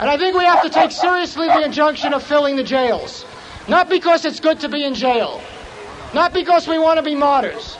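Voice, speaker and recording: Amid noticeable background noise, a man with an extremely high pitch speaks at a fairly quick pace with ordinary pitch variation. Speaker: magazine editor speaking at rally. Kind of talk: rally speech. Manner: earnest, grave, forceful.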